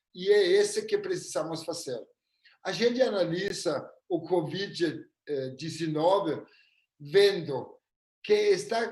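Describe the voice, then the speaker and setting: Fairly slow speech with a non-native accent and ordinary pitch variation. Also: man. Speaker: futurist. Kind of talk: live webinar presentation. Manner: halting.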